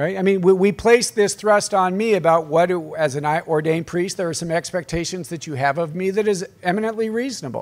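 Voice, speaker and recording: At a moderate pace, a man talks in a high voice with ordinary pitch variation. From US, southwest Colorado. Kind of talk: workshop talk. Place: hall. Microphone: podium.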